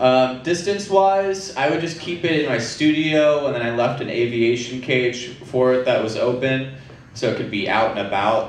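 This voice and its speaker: Moderate-paced male speech amid audible room echo and light background noise. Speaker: presenter. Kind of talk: casual talk to an audience. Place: stage.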